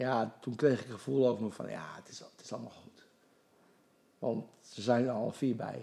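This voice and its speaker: This man's dark, mellow tone sits at a medium pitch with vocal fry, fairly even intonation, big swings in loudness and a moderate pace. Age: 60s. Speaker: golf coach and charity golfer. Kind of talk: casual interview.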